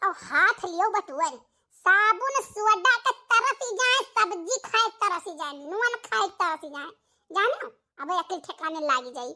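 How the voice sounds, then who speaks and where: A woman uses a cartoonish character voice, extremely high in pitch with very wide swings, at a moderate pace. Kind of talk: rustic cartoon comedy. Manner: coaxing, bossy.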